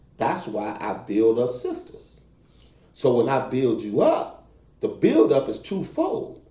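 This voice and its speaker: Audible room echo surrounds a man who talks very slowly. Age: 50s. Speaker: pastor and real estate agent. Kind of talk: casual chat.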